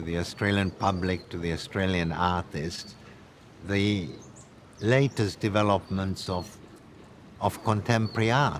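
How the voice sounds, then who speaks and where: This man has a Hungarian accent and a very deep, low pitch, with ordinary pitch variation. He talks at a fairly slow pace, with long, frequent pauses. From Hungary, then Paris as a child. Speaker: art curator. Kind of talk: documentary interview; casual chat.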